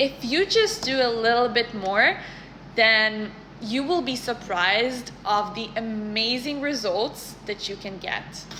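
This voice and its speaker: A woman with a non-native accent talks at a very slow pace, her fairly high pitch showing ordinary variation. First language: not English. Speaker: career content creator. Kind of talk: casual advice talk to camera. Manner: conversational, some self-corrections.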